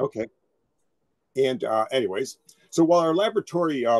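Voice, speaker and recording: A man with a normal speaking voice talks fairly quickly, his intonation lively. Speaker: federal environmental agency analyst. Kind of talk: technical presentation. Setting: video call. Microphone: video call.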